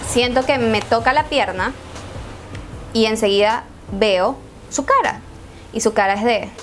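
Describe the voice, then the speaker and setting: Over music in the background, a woman with a Venezuelan accent speaks in a high voice with fairly even intonation. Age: 20s. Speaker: YouTuber. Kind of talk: story time talk to camera. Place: home room.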